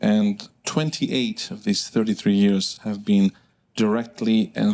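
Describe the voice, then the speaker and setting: The man's tone is dark and mellow, pitched fairly low. He keeps his intonation fairly even at a moderate pace. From southern Italy. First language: Italian. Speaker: neurologist. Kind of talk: lecture. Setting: stage with audience. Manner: halting, many fillers.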